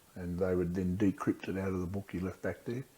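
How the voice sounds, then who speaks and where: A man speaks in an Australian accent at a fairly quick pace. His pitch is very deep and low, with a dark, mellow tone. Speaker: war veteran. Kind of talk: interview answer. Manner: casual, conversational.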